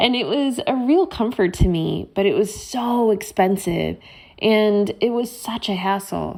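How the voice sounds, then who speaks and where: A woman with an American accent speaks at a fairly slow pace in a fairly high pitch with ordinary pitch variation. She has a plain, everyday voice. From Chicago, US Midwest. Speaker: business co-founder. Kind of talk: podcast interview.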